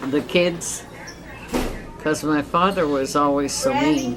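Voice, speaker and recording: The intonation of a woman's voice is lively. Background noise can be clearly noticed. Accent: American. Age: 80s+. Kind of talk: interview answer.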